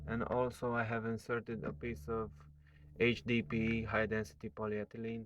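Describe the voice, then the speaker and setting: A man speaks at a moderate pace with a non-native accent. His pitch is medium and its variation ordinary. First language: not English. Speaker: electronics hobbyist. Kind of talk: tutorial. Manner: halting, many fillers.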